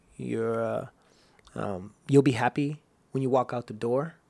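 At a moderate pace, a man with an American accent talks in a medium pitch with fairly even intonation. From US, San Gabriel Valley California. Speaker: actor. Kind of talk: casual chat. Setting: studio.

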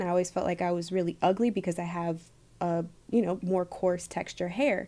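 A plain, everyday voice at a moderate pace, on a very clean recording with a silent background. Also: woman. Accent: American. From Michigan. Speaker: plant medicine practitioner and digital marketer. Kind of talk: casual interview chat.

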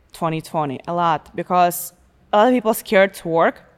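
Fairly low-pitched woman with an Eastern European accent, fairly quick pace, ordinary pitch variation, on a very clean recording with a silent background. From Belarus. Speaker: truck driver and car model. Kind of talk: casual chat. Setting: studio. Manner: halting.

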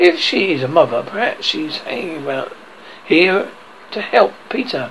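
A man's put-on character voice, high-pitched and fairly bright, with vocal fry, big pitch swings and a fairly slow pace over faint background noise

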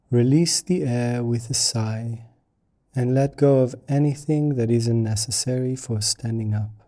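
A man's dark, mellow, calm and soothing voice at medium pitch, with fairly even intonation and a fairly slow pace. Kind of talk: guided meditation. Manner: slow, calm, soothing; gentle, unhurried with long pauses.

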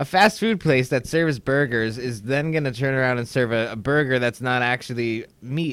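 This man has an unremarkable speaking voice at medium pitch, with ordinary pitch variation. He talks at a moderate pace with hardly any pauses. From New York / New Jersey area. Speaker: stand-up comedian. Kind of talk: casual chat.

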